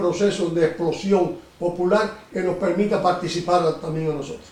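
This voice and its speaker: Through noticeable background noise and audible room echo, a man speaks at a fairly quick pace with ordinary pitch variation. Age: 70s. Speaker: interviewer. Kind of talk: interview.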